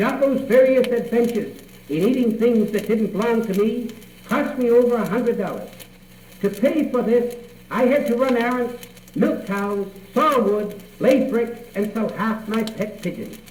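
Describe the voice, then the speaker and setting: A man speaks at a moderate pace in an extremely high voice. His intonation stays fairly even against noticeable background noise. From Cape Cod, Massachusetts. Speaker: storyteller. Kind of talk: radio tall tale telling. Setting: radio studio.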